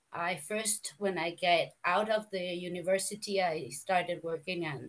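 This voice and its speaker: A woman with a Spanish accent, medium pitch and a fairly slow pace. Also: hardly any pauses. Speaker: fashion and costume designer. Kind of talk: online round table contribution. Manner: halting.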